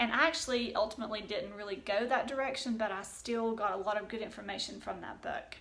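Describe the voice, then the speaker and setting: With a Southern Appalachian accent, a woman talks at a very fast pace with hardly any pauses, her fairly high pitch showing ordinary variation, amid noticeable background noise and audible room echo. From US South, East Tennessee. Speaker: homeschooling vlogger. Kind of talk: casual tutorial. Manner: chatty, with fillers.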